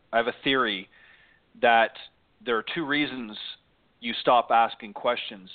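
A man at a medium pitch, talking at a moderate pace. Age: 50s. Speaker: golf radio show host. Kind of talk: live talk radio show. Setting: live internet radio broadcast.

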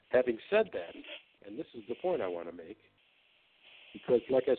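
Speaking at a fairly quick pace, a man uses lively intonation. His pitch sits in the medium range. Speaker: attorney and author. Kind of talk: casual chat.

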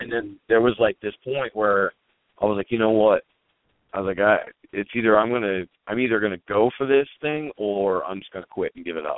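Here is a man with an ordinary speaking voice, fairly low in pitch, with ordinary pitch variation. He talks at a fairly quick pace, and his loudness swings a lot. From Pennsylvania, Lancaster County. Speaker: rock band singer and guitarist. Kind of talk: interview.

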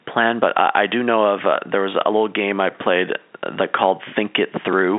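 A man speaks at a fairly quick pace in a low-pitched voice with fairly even intonation.

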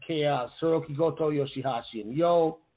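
This man speaks with a fairly high pitch. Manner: fast.

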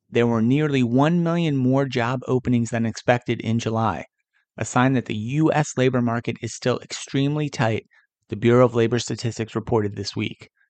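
In a normal speaking voice, a man with an American accent and a medium pitch talks at a fairly quick pace in a dry, close recording with no echo. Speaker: podcast host. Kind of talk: news reading. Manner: formal; brisk, even-paced.

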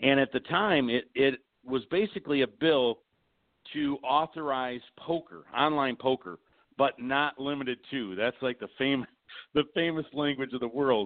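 Speaking at a moderate pace, this man has a plain, everyday voice with medium pitch and ordinary pitch variation. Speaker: horsemen association representative. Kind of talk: casual interview. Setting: phone call.

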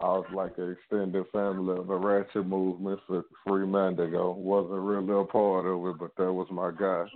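With a Louisiana accent, a man talks in a very deep, low pitch and a monotone, flat intonation. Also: moderate pace, hardly any pauses. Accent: Southern US (Louisiana). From Louisiana, Shreveport. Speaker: record label executive. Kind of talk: casual interview. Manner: laid back.

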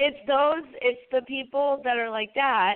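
A woman's speech unfolds at a fairly slow pace, her pitch varying in an ordinary way. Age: 20s. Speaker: podcast host. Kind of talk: casual interview chat. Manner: animated.

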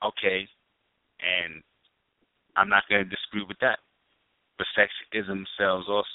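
Long, frequent pauses break up a man's speech at a moderate pace. His fairly low voice stays monotone and flat. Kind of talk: casual chat.

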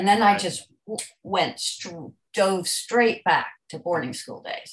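A woman with a somewhat breathy voice speaks at a moderate speed, her pitch varying in an ordinary way. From United States. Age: 70s. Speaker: debut novelist and journalist. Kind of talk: casual interview chat. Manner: energetic.

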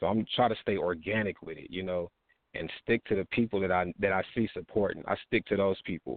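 With an American accent, a man speaks in an unremarkable speaking voice, fairly low in pitch, at a fairly quick pace and with fairly even intonation. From Texas. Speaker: rapper. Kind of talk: casual interview. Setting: online radio show.

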